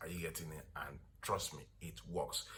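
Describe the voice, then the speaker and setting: Audible room echo surrounds a voice with a bright, sharp tone. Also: man. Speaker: skincare product seller. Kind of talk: product tutorial. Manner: fast.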